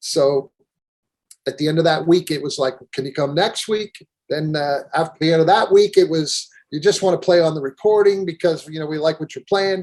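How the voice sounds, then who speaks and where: Here a man speaks with an American accent at a moderate pace. His pitch sits fairly high, with ordinary variation. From western Pennsylvania. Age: 60s. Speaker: keyboardist. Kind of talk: interview. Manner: halting.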